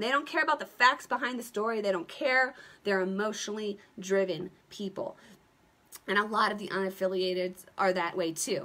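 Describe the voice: In a put-on character voice, a woman speaks raspy and medium-pitched at a moderate pace.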